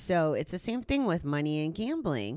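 A woman talks loudly at a moderate pace in a very deep, low voice with very wide pitch swings. The recording is very clean and dry, close, with a silent background and no echo. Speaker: gambling recovery podcast host. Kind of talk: solo monologue podcast.

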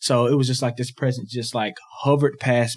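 Here is a man with an ordinary speaking voice. His pace is fairly quick. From US South, Georgia. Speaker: former college athlete, campus ministry worker. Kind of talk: personal testimony.

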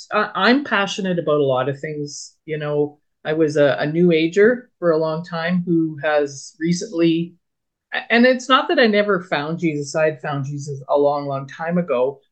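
A woman with a plain, everyday voice speaks at a moderate pace, her fairly low pitch carrying lively intonation. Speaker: podcast co-host. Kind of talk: casual chat.

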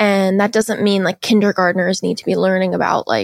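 A woman with a General American accent, dry and close with no echo, on a very clean recording with a silent background. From Seattle, US. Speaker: podcast host, guest. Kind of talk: casual interview chat.

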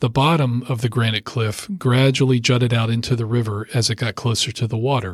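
A man speaks at a fairly quick pace in a medium pitch, somewhat breathy and with fairly even intonation, on a very clean recording with a silent background. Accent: American. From US Mid-Atlantic (Rockville, Maryland). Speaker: lawyer and author. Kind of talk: audiobook reading.

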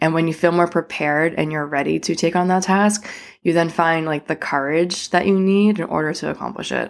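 The recording is very clean, with a silent background. A woman speaks in an ordinary speaking voice. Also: fairly low pitch for a woman, fairly even intonation. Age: 30s. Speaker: podcast host. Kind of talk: casual solo podcast talk. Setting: home living room. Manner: casual, filler-heavy.

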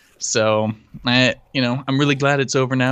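With a quiet background, a man with a medium pitch and a plain, everyday voice talks at a fairly quick pace using fairly even intonation. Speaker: tech podcast co-host. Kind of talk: casual chat. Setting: live stream.

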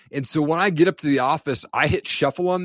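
At a moderate pace, a man with an American accent talks in a plain, everyday voice with ordinary pitch variation. The sound is dry and close with no echo, over a quiet background. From US Pacific Northwest, eastern Washington. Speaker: podcaster and apparel business owner. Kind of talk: interview testimony.

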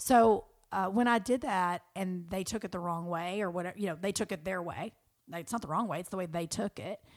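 A woman with a Southern US accent, animated in tone, fairly quick, medium-pitched with ordinary pitch variation, on a very clean recording with a silent background. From US South. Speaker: friend of the host. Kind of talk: casual chat.

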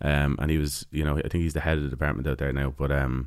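A man speaks in a Dublin accent with a very deep, low pitch. His intonation stays monotone and flat. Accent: Irish (Dublin). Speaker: folk musician. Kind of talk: casual interview. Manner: halting.

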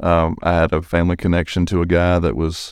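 In a very clean recording with a silent background, a man with a very deep, low voice and an Alabama accent speaks in a monotone, flat way. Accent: Alabama Southern US. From US South, small-town southern Alabama. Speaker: construction business development director. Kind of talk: casual interview.

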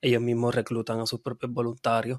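Medium-pitched male voice, dry and close, with no echo. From Puerto Rico. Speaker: veterinarian and nonprofit founder. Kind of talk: interview. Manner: halting, many fillers.

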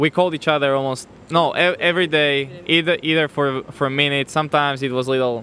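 A man's fairly high voice at a fairly quick pace with hardly any pauses. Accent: Slovak. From Slovakia. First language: Slovak. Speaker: newlywed guest sharing his faith story. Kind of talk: testimony. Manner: halting.

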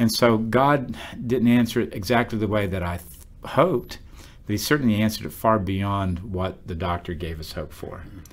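A man with an ordinary speaking voice and an American accent talks at a fairly low pitch with ordinary pitch variation. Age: 50s. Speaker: pastor. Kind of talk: Bible study discussion.

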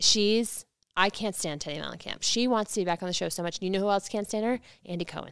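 Recorded very cleanly against a silent background, a woman speaks at a very fast pace with a medium pitch and ordinary pitch variation. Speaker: podcast host. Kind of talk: casual chat recapping a reality TV show.

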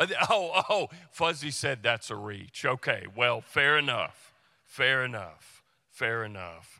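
At a very slow pace, a man with a medium pitch, a bright, sharp tone and vocal fry moves through very wide pitch swings. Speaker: pastor. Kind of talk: sermon. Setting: church.

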